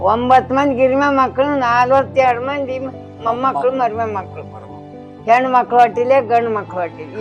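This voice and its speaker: Over music in the background, a woman speaks at a high pitch with fairly even intonation. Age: 80s+. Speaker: farm laborer. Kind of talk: interview answer.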